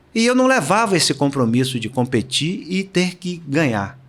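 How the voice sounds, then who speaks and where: Pitch swings very widely as a man speaks at a moderate pace in a fairly high voice. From Brazil, Salvador, Bahia. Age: 70s. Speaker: retired swimmer and swimming coach. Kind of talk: interview.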